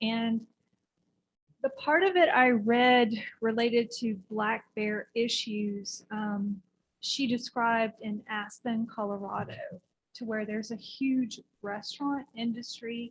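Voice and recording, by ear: Soft-spoken, a woman with a fairly high pitch and a slightly husky edge talks at a slow pace with fairly even intonation.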